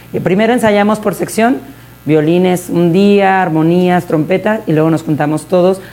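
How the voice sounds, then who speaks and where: The speech moves at a moderate pace with ordinary pitch variation and very even loudness, over noticeable background noise. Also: woman. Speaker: mariachi singer and director. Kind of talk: interview.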